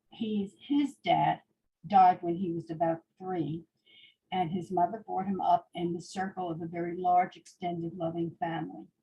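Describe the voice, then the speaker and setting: An American woman speaks in a somewhat breathy voice. Her pitch varies in an ordinary way. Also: fairly low pitch for a woman, moderate pace. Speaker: Holocaust survivor. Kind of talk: testimony.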